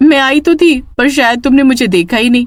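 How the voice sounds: This cartoonish character voice sounds female, pitched high for a woman and delivered at a fairly quick pace.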